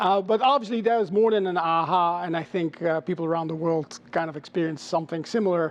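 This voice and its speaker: A man with a Dutch accent talks at a high pitch with ordinary pitch variation. He goes at a very fast pace with hardly any pauses. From Netherlands. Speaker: chief marketing officer. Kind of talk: interview. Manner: hesitant, many filler sounds.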